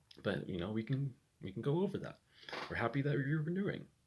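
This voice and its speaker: A somewhat breathy man speaks at a fairly quick pace. His pitch swings very widely. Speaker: vlogger. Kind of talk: personal vlog monologue. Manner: halting.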